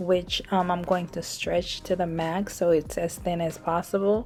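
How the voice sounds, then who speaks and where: A soft-spoken woman talks at a moderate pace. Music plays in the background. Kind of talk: hair tutorial voiceover. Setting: no microphone.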